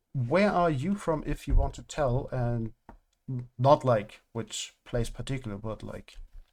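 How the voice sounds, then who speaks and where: In a German accent, the speech moves at a fairly slow pace on a very clean recording with a silent background. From Germany. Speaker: gaming streamer. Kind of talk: casual live-stream commentary. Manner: halting, filler-heavy.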